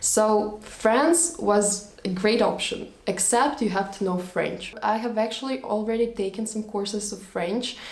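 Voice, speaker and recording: Woman with a Russian accent at a fairly high pitch, fairly slow pace, audible room echo and noticeable background noise. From Latvia, Russian-speaking family. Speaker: vlogger. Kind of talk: storytime monologue.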